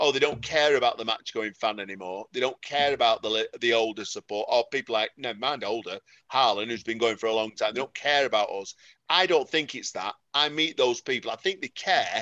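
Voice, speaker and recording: Speaking at a fairly quick pace in a Mancunian accent, a man has a bright, sharp tone, medium pitch and ordinary pitch variation, recorded dry and close with no echo against a quiet background. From Salford, Greater Manchester. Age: 50s. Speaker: football fan. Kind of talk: casual chat. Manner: animated.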